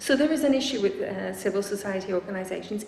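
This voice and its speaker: A woman's medium-pitched voice comes with audible room echo and noticeable background noise. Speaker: researcher giving a talk. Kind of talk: lecture. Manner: fast.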